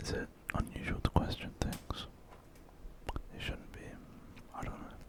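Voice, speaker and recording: A man whispering over noticeable background noise. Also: moderate pace. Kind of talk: ASMR whispered ramble. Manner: whispered, soft-spoken.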